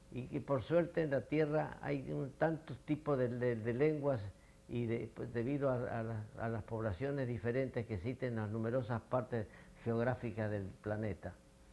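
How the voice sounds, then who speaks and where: Dark and mellow in tone, a man talks at a moderate pace with medium pitch and ordinary pitch variation. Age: 80s+. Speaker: physician. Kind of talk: interview answer. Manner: hesitant, halting.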